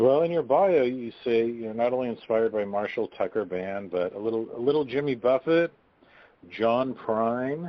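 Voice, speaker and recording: At a moderate pace, an ordinary speaking voice carries ordinary pitch variation. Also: man, medium pitch for a man. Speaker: radio host. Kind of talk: interview. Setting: phone call.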